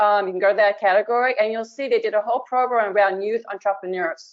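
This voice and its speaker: A normal speaking voice from a woman, fairly high in pitch, with ordinary pitch variation. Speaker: museum professional. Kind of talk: webinar panel discussion.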